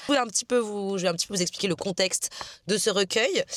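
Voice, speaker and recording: The delivery is very fast, with ordinary pitch variation and a dry, close sound with no echo. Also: woman. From France, Marseille. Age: 20s. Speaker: author and vlogger. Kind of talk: casual vlog chat. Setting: in a car. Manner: casual, hesitant with many fillers.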